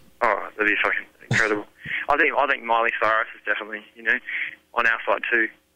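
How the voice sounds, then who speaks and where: A man with an Australian accent talks at a very fast pace and a medium pitch, with fairly even intonation. His loudness swings widely, and he leaves long, frequent pauses. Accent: thick Australian. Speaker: rock band singer. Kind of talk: interview. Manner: casual.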